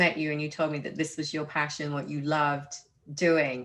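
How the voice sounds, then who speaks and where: A woman speaks with a very deep, low pitch. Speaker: podcast host and mentor. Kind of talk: interview questions.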